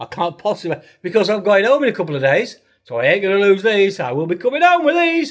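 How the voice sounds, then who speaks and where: A man with an English accent speaks with very wide pitch swings. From UK. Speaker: travel vlogger and hypnotist. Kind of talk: travel vlog.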